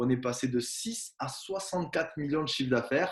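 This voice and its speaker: Fairly high-pitched man with ordinary pitch variation, talking at a fairly quick pace. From southwest France. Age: 20s. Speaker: network marketing presenter. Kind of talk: sales pitch.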